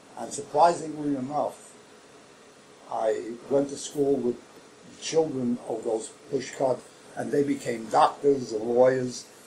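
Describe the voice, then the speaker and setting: Speaking very slowly with a Brooklyn accent, a man has a dark, mellow tone at medium pitch. His intonation stays fairly even. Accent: New York (Brooklyn). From New York City, Brooklyn. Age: 80s+. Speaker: oral history interviewee. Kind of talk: oral history interview. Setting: library.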